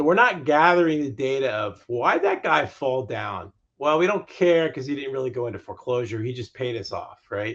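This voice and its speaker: A man with an unremarkable speaking voice talks at a moderate pace and medium pitch, using lively intonation and hardly any pauses. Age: 60s. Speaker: mortgage lending executive. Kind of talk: interview.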